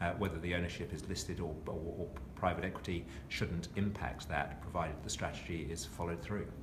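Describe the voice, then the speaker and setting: Noticeable background noise sits behind a man with a very deep, low pitch speaking at a fairly quick pace with fairly even intonation. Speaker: CEO of private equity outsourcing firm, former accounting firm boss. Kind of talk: interview answer.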